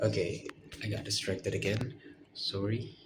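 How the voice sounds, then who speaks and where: Noticeable background noise runs under speech delivered at a moderate speed. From Indonesia (West Sumatra). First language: Minangkabau / Indonesian. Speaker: university student vlogger. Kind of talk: casual monologue vlog. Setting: bedroom with red lamp. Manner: halting, hesitant with fillers.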